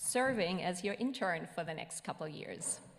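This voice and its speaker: A woman's medium-pitched voice in a slight German accent, with audible room echo. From Germany. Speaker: ministry student and intern. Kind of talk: self-introduction to congregation. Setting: church service.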